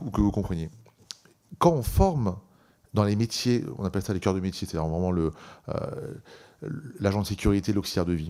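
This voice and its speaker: A man talks at a fairly low pitch with ordinary pitch variation and a dark, mellow tone. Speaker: employers' organisation president. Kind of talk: parliamentary hearing testimony. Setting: parliamentary committee hearing. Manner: fast; hesitant, many fillers.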